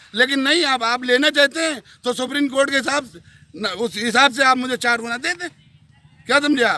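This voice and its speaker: This man talks in a raised, projected voice at an extremely high pitch, with ordinary pitch variation. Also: moderate pace, big swings in loudness. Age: 60s. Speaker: farmer. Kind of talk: news interview.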